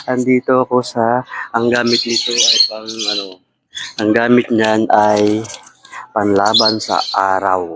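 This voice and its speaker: Soft-spoken and medium in pitch, a man talks at a very slow pace. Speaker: vlogger. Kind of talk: live vlog chat. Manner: animated.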